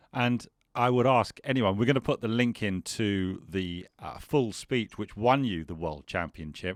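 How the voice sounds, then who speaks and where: In a very clean recording with a silent background, a man with an ordinary speaking voice talks fairly slowly at a fairly low pitch, his intonation lively. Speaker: podcast host. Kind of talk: podcast interview.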